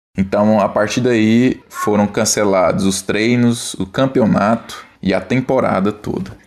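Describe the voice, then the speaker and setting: In an ordinary speaking voice, a man talks at a fairly slow pace and fairly low pitch, his intonation fairly even, with hardly any pauses. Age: 30s. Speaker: professional volleyball player. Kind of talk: testimony.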